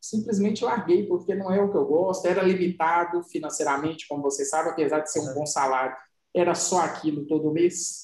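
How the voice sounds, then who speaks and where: A man speaks at a fairly quick pace. His voice is pitched high for a man. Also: ordinary pitch variation. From Minas Gerais interior, Brazil. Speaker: podcast co-host. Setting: home recording with dogs in background.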